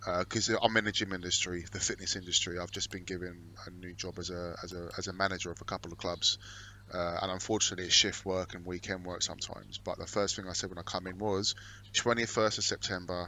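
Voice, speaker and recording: In a London accent, a man talks at a very fast pace with a very deep, low pitch. His intonation is monotone and flat, while his loudness swings widely. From London, England. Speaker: podcast co-host, gym manager. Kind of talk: casual chat.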